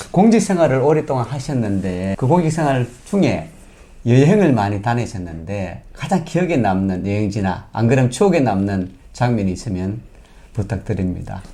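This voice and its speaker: Speaking with a Gyeongsang accent, a man with a dark, mellow tone makes very wide pitch swings. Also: medium pitch for a man, moderate pace. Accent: Gyeongsang dialect (self-described). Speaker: local news interviewer. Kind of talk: political candidate interview.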